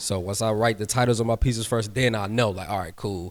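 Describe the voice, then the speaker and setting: A man is speaking. He talks at a fairly quick pace. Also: very clean recording, silent background. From military family, moved around the world. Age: 20s. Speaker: artist. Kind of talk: panel talk. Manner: casual.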